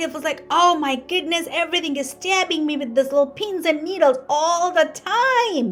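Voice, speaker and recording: Over noticeable background noise, a woman with a high voice speaks at a moderate pace in an animated tone with lively intonation. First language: not English. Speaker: physical therapist. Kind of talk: educational talk.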